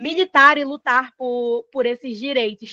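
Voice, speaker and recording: The sound is dry and close, with no echo, as a woman talks. Her pitch is high, with ordinary variation. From Pará, northern Brazil. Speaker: moderator of an online community panel. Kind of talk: panel discussion moderation. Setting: video call.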